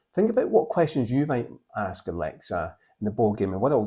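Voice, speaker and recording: Somewhat breathy and dark, mellow in tone, a man talks in a Scottish accent. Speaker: board game channel host. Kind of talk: casual to-camera presentation.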